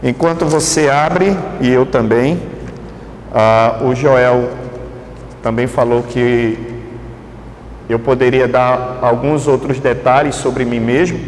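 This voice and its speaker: Someone with a northeastern Brazilian accent speaks at a very slow pace, leaving long, frequent pauses, with very even loudness and fairly even intonation. There is noticeable background noise and audible room echo. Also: man, medium pitch for a man. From Brazilian Northeast, Pernambuco (greater Recife). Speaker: pastor. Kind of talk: sermon. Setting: church. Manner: halting, many fillers.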